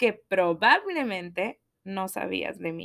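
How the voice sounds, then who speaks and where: A woman's intonation is lively as she talks at a very slow pace. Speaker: podcaster. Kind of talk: personal monologue. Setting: home recording at computer. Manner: animated.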